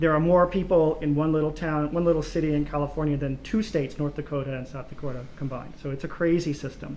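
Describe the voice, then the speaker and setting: Fairly even intonation marks this man's speech. He talks at a fairly quick pace in a Mid-Atlantic accent. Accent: American, Mid-Atlantic. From US, Baltimore. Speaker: political science professor. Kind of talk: academic Q&A answers.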